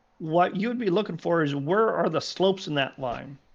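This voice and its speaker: A man with a high-pitched voice speaks at a fairly slow pace against a quiet background. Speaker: sim racing engineer explaining telemetry. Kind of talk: tutorial over a call. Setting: phone or voice call. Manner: animated.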